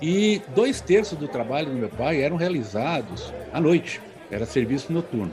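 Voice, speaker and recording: A man with a fairly high voice speaks at a moderate pace, his pitch swinging very widely, with audible room echo and music playing in the background. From São Paulo city, Brazil. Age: 60s. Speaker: agronomist. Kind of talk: podcast interview.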